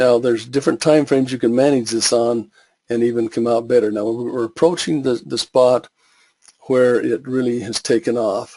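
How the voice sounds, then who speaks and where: A man's dark, mellow tone at medium pitch, with fairly even intonation. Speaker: forex trading educator. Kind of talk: webinar tutorial. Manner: fast; halting with fillers.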